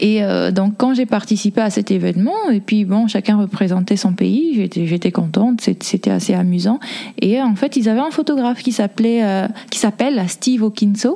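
A woman speaks at a fairly slow pace with ordinary pitch variation over noticeable background noise. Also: medium pitch for a woman, very even loudness. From Congo, moved to France at 11. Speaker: artist and photo model. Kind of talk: interview. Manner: hesitant, many fillers.

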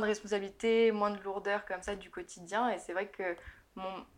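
The speech moves at a fairly quick pace in a flat monotone. The background is quiet. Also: woman. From France, Burgundy. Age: 20s. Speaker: digital marketing entrepreneur. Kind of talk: interview.

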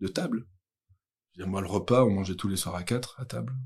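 Ordinary in pitch variation and fairly low, a man's voice moves at a fairly quick tempo. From Belgium, Brussels. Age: 30s. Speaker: youth social worker. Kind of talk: interview testimony. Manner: hesitant.

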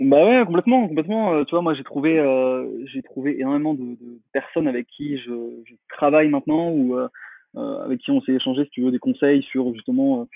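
A man speaks at a moderate pace in a plain, everyday voice, his pitch fairly high and its variation ordinary. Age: 30s. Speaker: marketing consultant. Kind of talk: interview.

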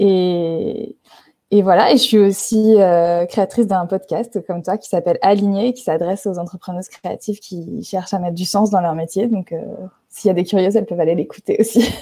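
A woman of medium pitch talks at a moderate pace in a dark, mellow tone, her intonation fairly even but her loudness swinging widely. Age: 30s. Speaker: graphic designer and art director. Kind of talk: interview.

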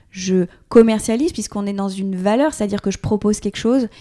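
A woman speaks at a medium pitch with a dark, mellow tone. Her pace is fairly quick and her intonation fairly even. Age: 30s. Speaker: entrepreneur and online influencer. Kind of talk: casual interview. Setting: host's home studio in Paris.

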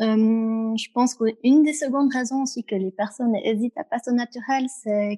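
A woman speaks at a moderate pace with a somewhat breathy voice and a dark, mellow tone. Her intonation is fairly even, and the sound is dry and close with no echo. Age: 20s. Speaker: customer sharing her experience, works in human resources. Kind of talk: interview. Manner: hesitant, frequent fillers.

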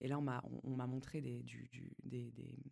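The voice has a dark, mellow tone. Its pace is moderate. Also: woman. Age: 30s. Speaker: tattoo artist. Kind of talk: casual interview. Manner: halting, many repetitions.

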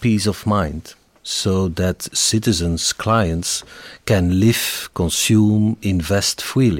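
A very slow delivery with a Flemish accent and a dry, close sound free of echo. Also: man. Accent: Flemish Dutch. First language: Dutch. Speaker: company executive. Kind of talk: interview.

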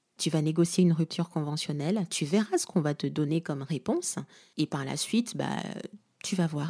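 The voice has a dark, mellow tone and a moderate pace, in a very clean recording with a silent background. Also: woman. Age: 20s. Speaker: podcast host, storytelling coach. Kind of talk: solo podcast monologue, personal story.

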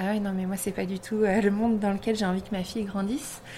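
A woman rattles off her words at a very fast pace. Her intonation is monotone and flat. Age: 30s. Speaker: shop owner. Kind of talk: interview. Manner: hesitant, many fillers.

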